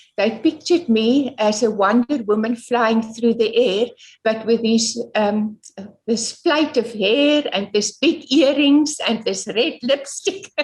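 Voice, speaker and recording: A woman's fairly high voice with an Afrikaans accent, very slow in pace and very even in loudness. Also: ordinary pitch variation. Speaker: environmental activist. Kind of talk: interview. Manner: halting.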